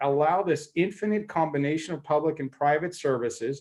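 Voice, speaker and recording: A man's plain, everyday voice with an American accent, fairly high in pitch, at a moderate pace with ordinary pitch variation. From United States. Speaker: panel speaker, mobility company executive. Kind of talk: panel debate presentation. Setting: online conference session.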